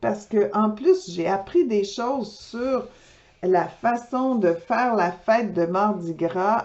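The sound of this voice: Unforced voice of someone reading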